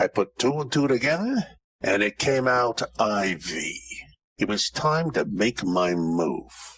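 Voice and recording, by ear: Using a put-on character voice, a man speaks slowly at a fairly low pitch, with big swings in pitch. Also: fairly bright tone.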